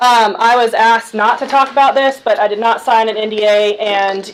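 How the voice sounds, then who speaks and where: Against noticeable background noise, a woman speaks with a fairly high pitch and fairly even intonation. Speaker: graduate student representative on campus committee. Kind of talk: committee meeting report. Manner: fast.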